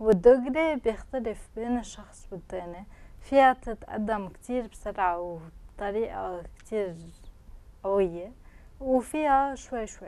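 A woman speaks at medium pitch and a moderate pace, her tone dark and mellow, with ordinary pitch variation.

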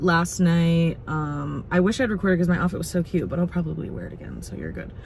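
Very fast and fairly low-pitched, a woman talks with fairly even intonation in a dry sound with no echo over light background noise. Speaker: vlogger. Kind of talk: casual vlog chat. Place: car. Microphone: phone near.

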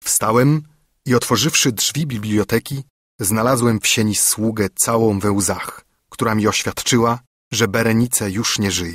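A plain, everyday voice from a man at medium pitch with ordinary pitch variation, in a dry, close sound with no echo and a very clean recording with a silent background. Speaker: audiobook narrator. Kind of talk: dramatic first-person narration of a gothic horror story, read aloud. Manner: grave, hushed, tense, with rising dread and horror near the climax; slow, measured, formal literary delivery.

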